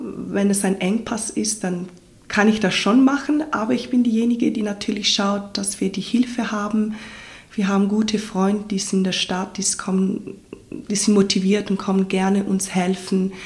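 A woman with a medium pitch and ordinary pitch variation keeps to a moderate pace. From Ticino, southern Switzerland. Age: 30s. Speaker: farmer and doula. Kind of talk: interview. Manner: hesitant, repeats words.

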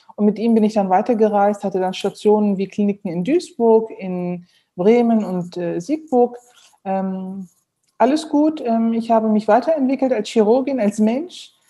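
A woman talks at a moderate pace in a fairly high pitch. Her tone is dark and mellow, and somewhat breathy. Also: ordinary pitch variation. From Germany, Neuss (Rhineland). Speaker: heart surgeon. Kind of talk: interview.

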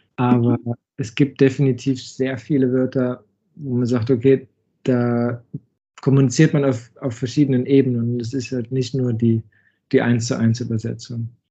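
Long, frequent pauses break up a man's monotone, flat delivery. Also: medium pitch for a man, moderate pace. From Germany, Düsseldorf area. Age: 30s. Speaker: wood engineer living abroad. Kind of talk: interview. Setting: phone call. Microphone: phone line.

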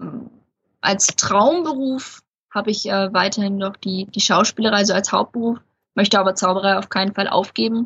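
A woman's fairly even intonation carries along at a moderate pace. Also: medium pitch for a woman. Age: young. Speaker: magician. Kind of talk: interview. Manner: hesitant, many filler sounds.

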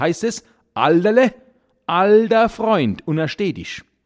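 In a Palatine accent, a man speaks at a fairly slow pace with a high pitch. His tone is animated, and his pitch swings very widely. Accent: Kurpfälzisch dialect. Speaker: cabaret comedian. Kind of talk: comic monologue in dialect.

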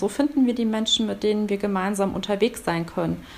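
Noticeable background noise sits behind this woman. Her pitch is fairly high, with ordinary variation. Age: 30s. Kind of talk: casual interview.

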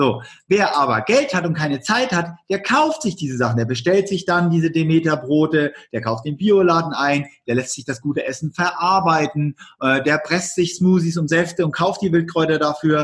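A man's fairly high, unremarkable speaking voice, moderate in pace, with ordinary pitch variation. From East Germany. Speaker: nutrition and detox practitioner. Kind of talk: casual interview. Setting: remote call.

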